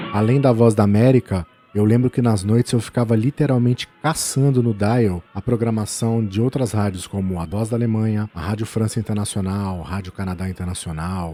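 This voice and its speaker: With noticeable background noise behind him, a man of fairly low pitch talks at a moderate pace with ordinary pitch variation and hardly any pauses. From Brazil, São Paulo (capital, born in interior). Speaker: podcaster. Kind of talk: scripted narration.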